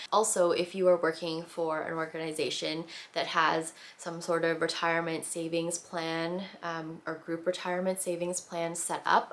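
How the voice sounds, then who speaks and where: A woman with a Canadian accent talks at a moderate pace with a fairly low pitch. Her intonation is monotone and flat. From Canada, born in the Philippines, moved at five. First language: Tagalog. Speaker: lifestyle vlogger. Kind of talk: casual Q&A vlog. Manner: casual, many fillers.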